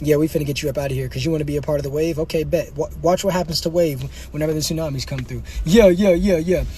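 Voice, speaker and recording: Very rapid speech from a man, with noise clearly audible behind it. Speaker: livestreamer. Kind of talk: live stream chat. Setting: in a car. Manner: fast; animated.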